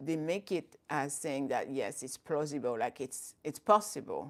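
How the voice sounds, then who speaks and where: In a very clean recording with a silent background, a woman with a French accent speaks at a moderate pace in a very deep, low pitch. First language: not English (English is third language). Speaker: Islamic educator and YouTuber. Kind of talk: live stream talk. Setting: live stream. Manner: halting, self-correcting.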